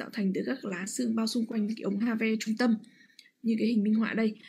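Her pitch fairly high, a woman is speaking. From Vietnam. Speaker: radiologist. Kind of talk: lecture. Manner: halting with frequent fillers. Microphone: video call.

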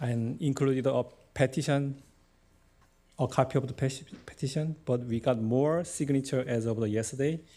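A man speaks in a dark, mellow tone with fairly even intonation and long, frequent pauses. The recording is very clean, with a silent background. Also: medium pitch for a man, moderate pace. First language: not English. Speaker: local business owner, delegate.

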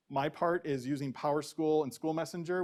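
His pitch varies in an ordinary way. The man talks at a fairly quick speed. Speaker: school district communications staff. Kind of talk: presentation at a board meeting. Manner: fast.

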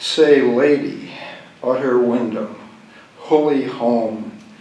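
With light background noise and audible room echo, a man speaks in a monotone, flat intonation. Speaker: poet. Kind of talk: poem reading, deadpan and unbroken, long stretch of dense fragmentary verse. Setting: stage with audience, live reading. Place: hall. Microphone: podium.

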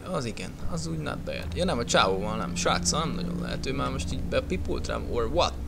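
A man's very deep, low voice at a fairly quick pace, with very wide pitch swings, audible room echo and noticeable background noise. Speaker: gaming youtuber. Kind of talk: let's play commentary. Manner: casual, animated.

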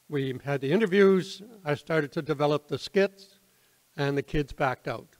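A man with an Atlantic Canadian accent speaks at a moderate pace in a fairly high pitch, with ordinary pitch variation over a quiet background. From Nova Scotia, Halifax; Nova Scotia. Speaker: retired teacher and theatre troupe founder; guest. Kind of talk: informal talk to audience. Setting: community hall with audience. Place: hall. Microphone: podium.

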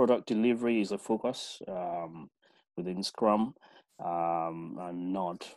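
The man speaks with lively intonation. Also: quiet background. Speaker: project management consultant; webinar presenter. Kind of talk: webinar discussion. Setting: video call. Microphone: video call.

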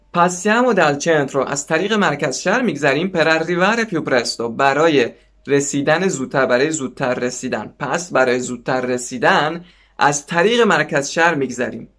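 Against a quiet background, a man talks with lively intonation. His pitch is fairly high. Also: moderate pace. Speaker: language teacher. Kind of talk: tutorial. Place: home room. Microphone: lapel.

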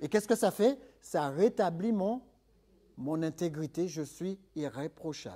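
Speaking at a fairly slow pace, a man has a high pitch and a dark, mellow tone. His intonation is lively. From third-world country. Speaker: preacher. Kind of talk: sermon. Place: church.

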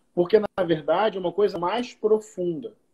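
A man with a high pitch and a dark, mellow tone talks at a fairly slow pace with ordinary pitch variation against a quiet background. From Niterói, Rio de Janeiro state, Brazil; Rio de Janeiro state, Brazil. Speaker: pastor and writer; pastor. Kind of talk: casual interview chat. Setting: video call. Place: home room. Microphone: video call.

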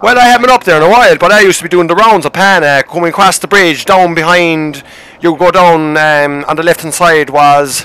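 Talking in a Munster accent, a man has a high pitch. He moves at a fairly quick pace. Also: ordinary pitch variation. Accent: Irish, Munster. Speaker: gaming streamer. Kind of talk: casual chat.

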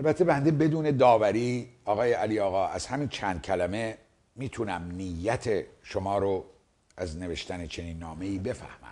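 Fairly low in pitch with a dark, mellow tone, a man speaks at a moderate pace with lively intonation. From Iran. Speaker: video commentator. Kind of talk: monologue replying to a viewer letter. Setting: seated in front of a camera. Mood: serious, argumentative. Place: studio. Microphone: lapel.

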